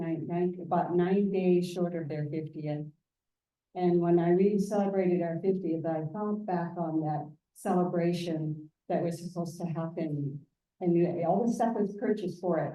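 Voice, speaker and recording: A woman's fairly low voice with fairly even intonation and audible room echo. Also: moderate pace. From Southeast Alaska. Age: 70s. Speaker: Tlingit family member giving a presentation. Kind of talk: public presentation, personal family history. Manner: halting, with fillers.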